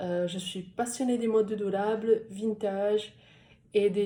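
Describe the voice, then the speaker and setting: A woman speaks at a very slow pace in a dark, mellow tone that is somewhat breathy. Her intonation stays fairly even. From Italy. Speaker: social media manager and copywriter. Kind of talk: interview answer. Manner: hesitant, many filler sounds.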